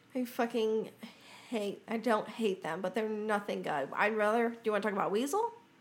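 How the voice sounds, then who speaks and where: Noticeable background noise behind a woman's fairly high-pitched voice. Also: ordinary pitch variation, moderate pace. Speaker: podcast co-host. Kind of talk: casual chat.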